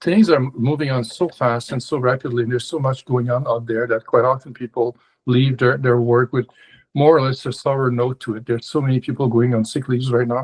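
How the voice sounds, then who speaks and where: Speaking at a fairly quick pace, a man with a non-native accent keeps a medium pitch, fairly even intonation and a somewhat breathy sound. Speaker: consultant and coach. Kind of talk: webinar presentation. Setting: video call webinar. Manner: halting, many fillers and repetitions.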